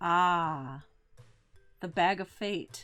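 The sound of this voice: A woman's raspy, put-on character voice, fairly low in pitch, with music in the background.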